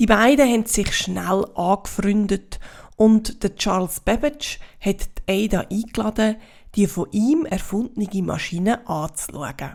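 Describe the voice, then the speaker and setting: Speaking with a Swiss German accent, a woman has a fairly high pitch. Her pitch varies in an ordinary way. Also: fairly slow pace. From Switzerland. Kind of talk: children's story reading.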